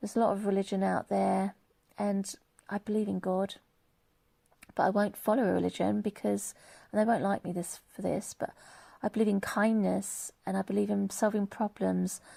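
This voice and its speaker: Delivered at a moderate pace with long, frequent pauses, this English-accented voice has a dry, close sound with no echo on a very clean recording with a silent background. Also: woman. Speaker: vlogger. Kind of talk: monologue vlog. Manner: animated.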